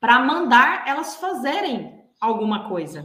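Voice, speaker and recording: In a room with audible echo, the voice has a bright, sharp tone, very wide pitch swings and a very slow pace. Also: woman. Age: 30s. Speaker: executive and behavioral coach. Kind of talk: interview.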